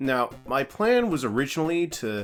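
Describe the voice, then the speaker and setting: A man speaks with music in the background. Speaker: let's play commentator. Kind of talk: casual gameplay commentary.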